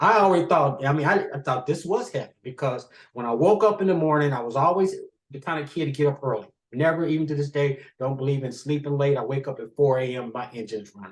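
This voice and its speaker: Speaking at a very fast pace, a man uses a fairly high, somewhat breathy voice. His pitch variation is ordinary, and his loudness swings widely. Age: 70s. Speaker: author and interview guest. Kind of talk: personal storytelling interview.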